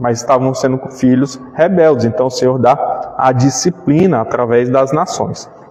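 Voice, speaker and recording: Against noticeable background noise, a man speaks at medium pitch and a fairly slow pace. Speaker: pastor. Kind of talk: Bible study lecture.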